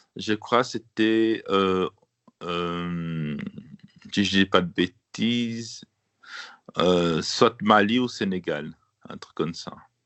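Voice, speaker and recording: A man talks at a very slow pace with long, frequent pauses. His fairly low pitch shows ordinary pitch variation, and his loudness swings widely. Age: 30s. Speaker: member of an association, visually impaired. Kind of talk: radio interview. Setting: remote recording. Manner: halting, many hesitations.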